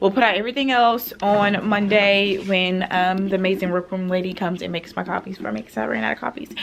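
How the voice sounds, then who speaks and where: A very fast delivery with hardly any pauses, ordinary pitch variation, and noticeable background noise. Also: woman, medium pitch for a woman. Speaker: pre-k teacher and vlogger. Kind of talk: casual vlog talk. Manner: loud.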